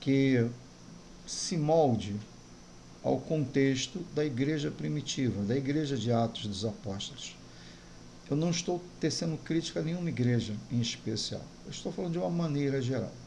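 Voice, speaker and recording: This man's voice sits fairly high, with a dark, mellow tone and a somewhat breathy quality. He speaks at a moderate pace with lively intonation and long, frequent pauses, and the room echo is audible. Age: 60s. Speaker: pastor. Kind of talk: sermon.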